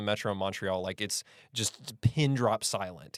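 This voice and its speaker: A man with a General American accent uses an ordinary speaking voice in a very clean recording with a silent background and a dry, close sound with no echo. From United States. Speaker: podcast host. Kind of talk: casual interview.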